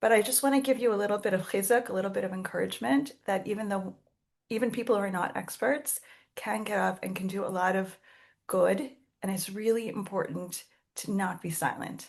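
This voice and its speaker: A woman's medium-pitched voice with vocal fry, fairly quick pace and ordinary pitch variation. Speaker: rabbanit and community support leader. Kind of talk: panel talk.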